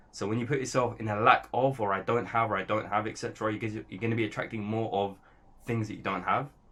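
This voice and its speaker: A very fast man with a London accent, fairly low in pitch, bright and sharp in tone, with fairly even intonation. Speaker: trader and content creator. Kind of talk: casual monologue to camera. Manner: rambling with fillers.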